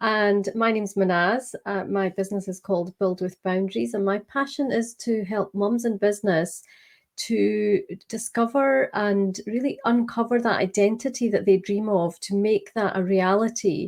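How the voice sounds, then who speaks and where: In a Scottish accent, a woman speaks at a medium pitch and a moderate pace. Her intonation is fairly even over a quiet background. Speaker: business coach. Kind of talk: interview.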